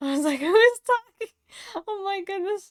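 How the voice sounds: A woman is speaking. Her intonation is lively.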